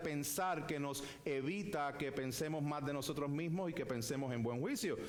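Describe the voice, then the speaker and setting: Noticeable background noise and audible room echo are present. Through them a man speaks at a moderate pace. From Puerto Rico. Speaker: pastor. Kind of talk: sermon. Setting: church.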